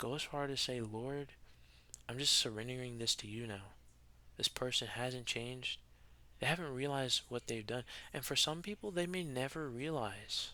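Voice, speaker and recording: The tone is bright and sharp, the pace moderate, with ordinary pitch variation and long pauses that come often. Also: man. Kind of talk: spoken reflection to camera. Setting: recording alone at home at night. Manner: halting, with repetitions.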